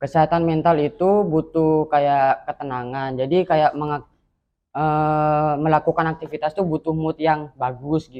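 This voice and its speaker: At a fairly slow pace, a man with a fairly high voice speaks in a monotone, flat way. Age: 20s. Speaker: university student, mental health survivor. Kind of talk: interview testimony. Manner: brief, short answers.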